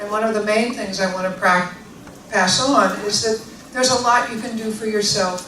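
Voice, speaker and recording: In an American accent, a woman speaks at a medium pitch and moderate pace with fairly even intonation, against audible room echo and noticeable background noise. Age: 60s. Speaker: osteopathic physician and author. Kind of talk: public talk. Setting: library event with audience.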